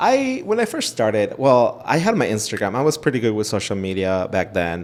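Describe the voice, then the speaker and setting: A man with a Spanish accent at a fairly quick pace. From Ecuador. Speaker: realtor. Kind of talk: interview.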